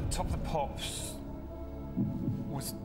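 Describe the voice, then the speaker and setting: Fairly slow speech over music in the background. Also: man. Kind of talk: thinking aloud in a game show. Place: studio. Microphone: lapel.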